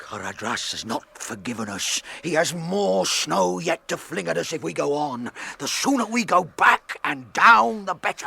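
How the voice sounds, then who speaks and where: In a put-on character voice, a man moves at a moderate pace while his pitch swings very widely. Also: fairly high pitch for a man. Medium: audio drama. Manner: gruff, forthright.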